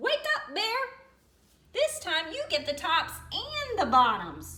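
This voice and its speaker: Going extremely high in pitch, a woman does a squeaky put-on character voice and talks at a fairly slow pace. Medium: read story. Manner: sly, smooth-talking.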